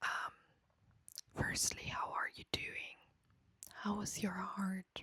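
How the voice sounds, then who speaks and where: Long, frequent pauses break up whispering that moves at a very slow pace. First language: not English. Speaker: ASMR creator. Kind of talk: ASMR talk. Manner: soft-spoken.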